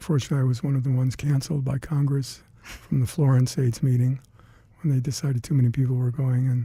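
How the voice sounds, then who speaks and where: Rushing at a very fast pace, the man has a medium pitch and a dark, mellow, somewhat breathy tone with monotone, flat intonation. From Detroit, Michigan. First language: Hungarian. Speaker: retired CDC laboratory scientist. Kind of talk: oral history interview. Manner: halting.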